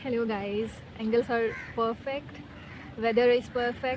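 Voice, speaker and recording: Over noticeable background noise, a woman talks at a fairly slow pace with a fairly high pitch and a monotone, flat intonation. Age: 20s. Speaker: vlogger. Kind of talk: casual chat. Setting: outdoors. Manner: halting.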